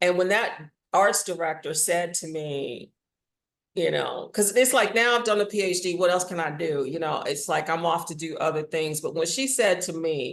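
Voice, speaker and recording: A woman with an American accent has an ordinary speaking voice, a fairly low pitch, ordinary pitch variation and a moderate pace. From Washington DC, US. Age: 60s. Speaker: audio drama writer and actor. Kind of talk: interview.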